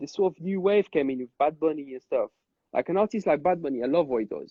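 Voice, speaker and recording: Very fast and with lively intonation, a man talks at a high pitch in a French accent. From Corsica, France. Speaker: club DJ. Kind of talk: casual chat. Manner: halting, many repetitions.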